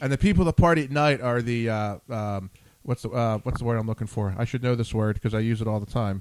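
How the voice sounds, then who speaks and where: An American accent at a very fast pace. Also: man. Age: 40s. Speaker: radio show host. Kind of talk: casual chat interview, flirty banter. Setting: live online show, in studio. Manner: jokey, flirtatious, talkative.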